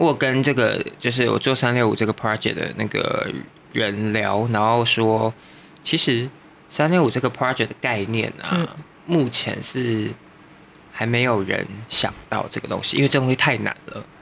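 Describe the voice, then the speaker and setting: A man at a medium pitch with ordinary pitch variation, a fairly slow pace and long, frequent pauses, amid noticeable background noise. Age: 30s. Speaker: makeup and hair artist. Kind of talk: casual chat.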